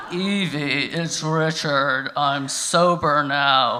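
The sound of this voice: A man's put-on character voice, fairly high in pitch, at a very slow pace over clear background noise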